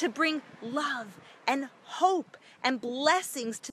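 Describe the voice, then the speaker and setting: A woman with an American accent uses a raised, projected voice with very wide pitch swings, in a dry sound with no echo and light background noise. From United States. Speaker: charity representative. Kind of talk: livestream address to viewers. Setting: outdoors on location. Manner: animated. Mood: earnest, religious. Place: street. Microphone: phone near.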